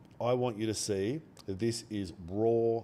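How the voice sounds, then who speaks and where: The voice belongs to a man with an Australian accent. It is fairly low-pitched, with a dark, mellow tone. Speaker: day trader streamer. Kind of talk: live trading stream commentary. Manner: quiet, soft-spoken. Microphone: mic very close.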